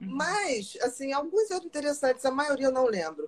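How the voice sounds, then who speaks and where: Her pitch is high. This woman's voice moves in very wide pitch swings. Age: 50s. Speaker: psychiatrist. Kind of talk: casual chat.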